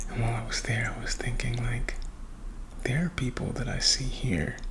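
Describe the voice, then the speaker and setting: Soft-spoken and whispering, a man talks at a moderate pace with an American accent. Noticeable background noise runs behind him. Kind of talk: ASMR whispered rambling chat to camera. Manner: soft-spoken, whispered, chatty, friendly.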